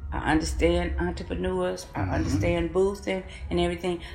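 A woman with an American accent at a moderate pace, music in the background and audible room echo. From Kankakee, Illinois. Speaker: city council member. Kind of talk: interview.

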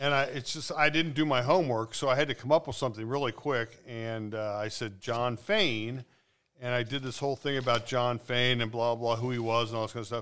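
This man has a plain, everyday voice at a medium pitch, speaking at a fairly quick pace with fairly even intonation. It is a very clean recording with a silent background. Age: 60s. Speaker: podcast co-host. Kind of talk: casual chat.

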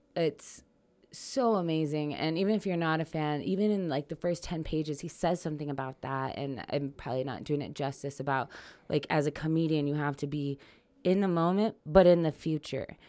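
On a very clean recording with a silent background, a woman talks in a very deep, low pitch with ordinary pitch variation. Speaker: stand-up comedian. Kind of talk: casual chat. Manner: fast.

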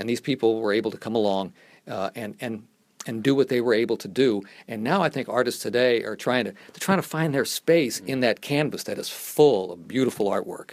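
Speaking at a fairly quick pace, a man with medium pitch and ordinary pitch variation shows big swings in loudness. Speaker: radio broadcaster and stadium announcer. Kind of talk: casual interview.

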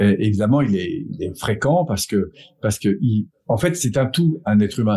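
At a moderate pace, a man talks with lively intonation and a somewhat breathy voice. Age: 50s. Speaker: personal development coach and trainer. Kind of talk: casual interview.

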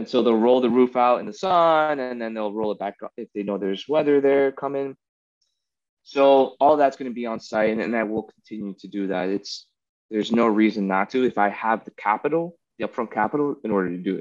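An ordinary speaking voice: a man with an American accent, at medium pitch and a fairly quick pace with ordinary pitch variation and big swings in loudness. The sound is dry and close with no echo. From South Florida, Miami. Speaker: aspiring coffee farmer, former Marine. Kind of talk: casual chat.

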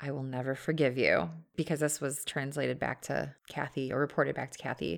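A woman talks at a very fast pace with vocal fry and an animated tone, on a very clean recording with a silent background. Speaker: podcast co-host. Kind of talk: casual chat. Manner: laughs often, animated.

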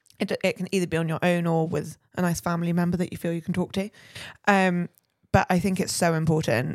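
This is an unremarkable speaking voice. The pace is fairly quick. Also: woman. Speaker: podcast co-host. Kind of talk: casual chat.

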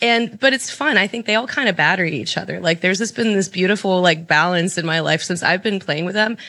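A woman's bright, sharp voice at medium pitch, racing along at a very fast pace with hardly any pauses and ordinary pitch variation. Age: 30s. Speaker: rock band bassist and tattoo artist. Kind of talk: casual chat. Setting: studio.

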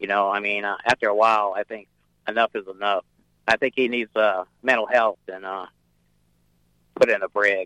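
Delivered in a flat monotone with long, frequent pauses, the voice has a bright, sharp tone and a dry, close sound with no echo. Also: man, fairly low pitch for a man, moderate pace. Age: 60s. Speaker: navy veteran caller. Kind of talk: radio call-in. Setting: phone call. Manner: halting.

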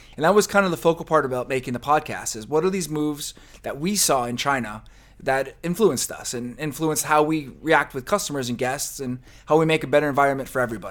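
Here a man talks at a very fast pace. His pitch is fairly high, and he has a slight New Jersey accent. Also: ordinary pitch variation. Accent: New Jersey-tinged American. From New Jersey, then New Mexico and California. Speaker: podcast co-host, food and beverage scene figure. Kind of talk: casual interview chat.

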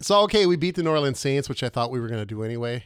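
A man with an Upper Midwest accent speaks at medium pitch with lively intonation. The sound is dry and close with no echo, on a very clean recording with a silent background. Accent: Upper Midwest American. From Minnesota. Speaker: podcast co-host. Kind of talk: casual comedic chat. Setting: home studio barn.

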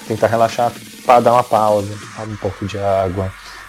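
Over music in the background, a man speaks at a fairly quick pace with a fairly low pitch. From São Paulo, Brazil. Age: 30s. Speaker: marketing and video professional. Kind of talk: interview.

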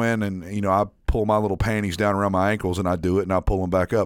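A man speaks with a slight Southern accent. His pitch sits fairly low. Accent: slight southern drawl. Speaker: podcast co-host. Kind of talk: casual chat.

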